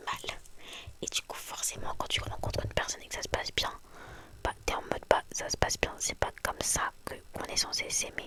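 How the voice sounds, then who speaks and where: A whispering woman amid noticeable background noise. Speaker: ASMR youtuber. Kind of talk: casual chat. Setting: in bed. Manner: fast.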